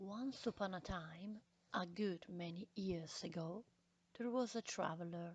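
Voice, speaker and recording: Somewhat breathy and fairly low-pitched, a woman with a non-native accent speaks at a very slow pace. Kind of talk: classic short story reading.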